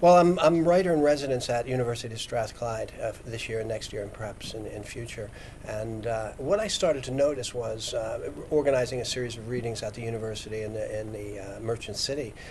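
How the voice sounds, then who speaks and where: A man with an American accent talks at a very fast pace and medium pitch, with ordinary pitch variation and big swings in loudness, amid noticeable background noise and audible room echo. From United States. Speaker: poet and editor. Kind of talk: panel interview. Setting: stage with audience. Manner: halting.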